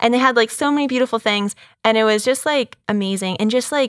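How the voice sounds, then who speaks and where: Against a quiet background, a woman with an American accent speaks at a fairly quick pace in a fairly high pitch with ordinary pitch variation, the sound dry and close with no echo. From Boston, Massachusetts. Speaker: ministry worker. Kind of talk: faith testimony interview. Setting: studio with lights and camera.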